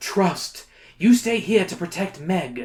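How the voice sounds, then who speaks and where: Middle-pitched, put-on character voice at a fairly slow pace. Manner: noble, solemn.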